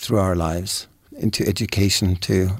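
A man speaks with a German accent. His pitch is fairly low and his pace moderate. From Germany. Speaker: youth soccer coach. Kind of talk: panel discussion. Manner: halting, repeats words.

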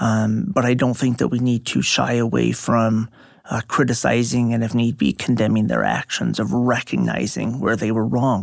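A plain, everyday voice with an American accent moves at a moderate pace, with ordinary pitch variation and very even loudness. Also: man, medium pitch for a man. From suburban Dallas, Texas. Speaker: history professor. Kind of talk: interview, explanatory.

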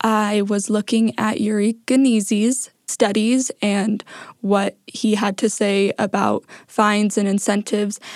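Woman with an American accent, fairly high-pitched and flat in a monotone, fairly slow, at very even loudness, in a dry, close recording with no echo, very clean with a silent background. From Idaho. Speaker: podcast producer. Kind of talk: reflective interview.

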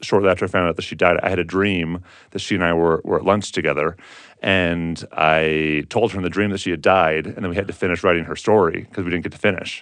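A man with a very deep, low pitch, monotone, flat intonation and a very fast pace. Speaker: author and podcaster. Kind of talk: casual interview, personal reflection.

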